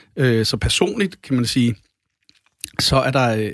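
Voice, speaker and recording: A man speaks at a fairly slow pace. The recording is dry and close, with no echo. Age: 40s. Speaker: record label owner and drummer. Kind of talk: casual chat. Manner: halting.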